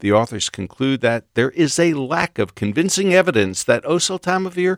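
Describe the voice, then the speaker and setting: The pitch of this man's voice swings very widely as he talks at a moderate pace. The sound is dry and close with no echo, in a very clean recording with a silent background. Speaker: radio host. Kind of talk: interview.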